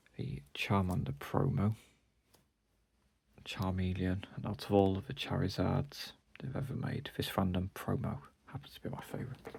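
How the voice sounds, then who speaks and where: Very wide pitch swings from a man with a British accent, fairly low-pitched and somewhat breathy, at a moderate pace with long, frequent pauses. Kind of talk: casual collection walkthrough.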